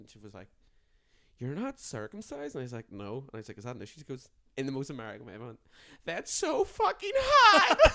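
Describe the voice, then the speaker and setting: A man speaks very fast in an Irish accent, his tone bright, sharp and animated. His pitch varies in an ordinary way. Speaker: comedian. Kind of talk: casual chat.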